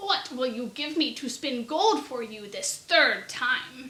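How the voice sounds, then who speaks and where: Putting on a character voice, a woman growls in a high pitch at a fairly slow pace, her intonation lively. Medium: read story. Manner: sly, bargaining.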